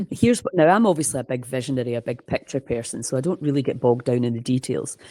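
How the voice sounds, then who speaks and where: A woman with a Scottish accent speaks at a very deep, low pitch. Her tone is dark and mellow, with ordinary pitch variation. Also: very clean recording, silent background. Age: 60s. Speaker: holistic health coach. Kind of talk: interview. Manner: animated.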